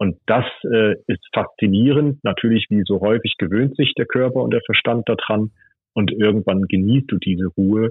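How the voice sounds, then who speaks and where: Keeping very even loudness, a man talks in a plain, everyday voice at a moderate pace, fairly low in pitch with ordinary pitch variation. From Hesse, Germany (Bad Hersfeld, eastern Hesse). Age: 40s. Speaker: tech entrepreneur. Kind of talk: casual interview.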